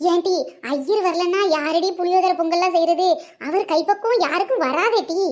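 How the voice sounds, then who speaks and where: In a cartoonish character voice, the speaker goes at a fairly slow pace with ordinary pitch variation and very even loudness. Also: woman, extremely high pitch for a woman. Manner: blunt, sarcastic.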